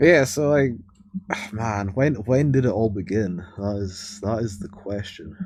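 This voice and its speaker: Speaking with a Scottish accent, a man keeps a fairly slow pace and a fairly low pitch with ordinary variation. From Scotland. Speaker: wrestling podcast co-host. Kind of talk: casual chat.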